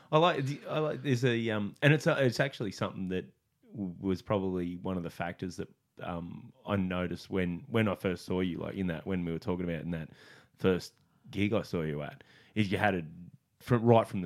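With an Australian accent, a man speaks fairly quickly in a very deep, low pitch and lively intonation. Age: 30s. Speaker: comedian and podcast host. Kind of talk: charity plug; casual chat.

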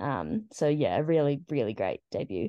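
Against a quiet background, a woman with a New Zealand accent speaks at a fairly slow pace in a dark, mellow tone. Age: 20s. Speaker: football team captain. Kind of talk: interview.

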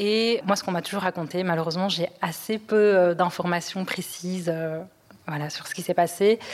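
Against noticeable background noise, a woman speaks at a moderate pace and medium pitch with fairly even intonation. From Europe, raised there. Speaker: podcast guest. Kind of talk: testimony.

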